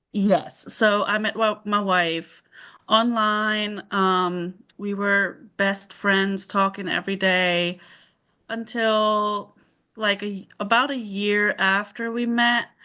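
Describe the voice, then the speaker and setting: A woman with a slight German accent speaks at a very slow pace in a bright, sharp tone. Her intonation is monotone and flat, with a quiet background. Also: medium pitch for a woman. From southern Germany, near Stuttgart. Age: 30s. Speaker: mother sharing parenthood story. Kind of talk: interview.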